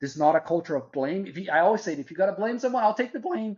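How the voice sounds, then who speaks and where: A man with a Portuguese accent and lively intonation. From Brazil. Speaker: marketing executive. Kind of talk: interview.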